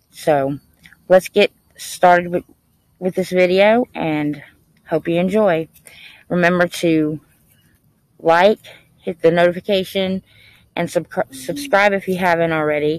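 The delivery is fairly slow with long, frequent pauses, set against a quiet background in a dry, echo-free sound. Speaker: paranormal vlogger. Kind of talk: casual vlog chat. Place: open country. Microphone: phone near.

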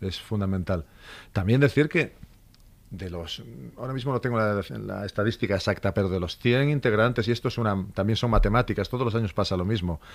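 Talking at a fairly quick pace, a man with an unremarkable speaking voice uses a fairly low pitch with ordinary pitch variation. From Asturias, Spain. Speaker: police inspector and elite unit instructor; elite unit instructor. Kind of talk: radio interview. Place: studio. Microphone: studio mic.

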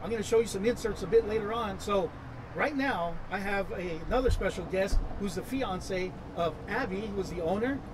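Against noticeable background noise, a man with a high pitch speaks with ordinary pitch variation. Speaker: internet show host. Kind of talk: casual interview. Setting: outdoors at a restaurant. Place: garden.

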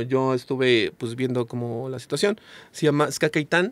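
This man's voice sits at a medium pitch, with fairly even intonation. The sound is dry, with no echo. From Mexico. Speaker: ska singer and songwriter; guest. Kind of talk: casual chat. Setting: studio. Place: studio. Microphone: studio mic.

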